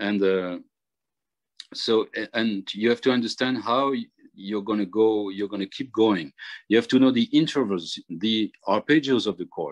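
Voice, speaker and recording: A man with a French accent and medium pitch speaks at a fairly slow pace in a dry, close sound with no echo and a quiet background. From Réunion island. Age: 50s. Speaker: jazz harmonica player. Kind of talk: workshop tutorial. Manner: halting.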